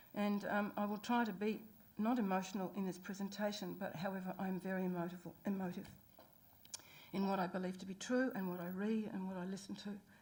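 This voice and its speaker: A woman's somewhat breathy voice at medium pitch, with a New Zealand accent, a fairly quick pace and monotone, flat intonation. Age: 60s. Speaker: public submitter. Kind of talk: public hearing submission. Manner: halting.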